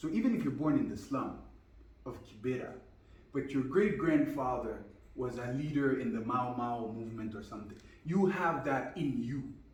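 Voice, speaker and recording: A man with a French accent speaks at a medium pitch and moderate pace, his intonation lively. Audible room echo and noticeable background noise fill the recording. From Guinea, with childhood years in the US. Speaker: business and life coach. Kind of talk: interview. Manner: fluent.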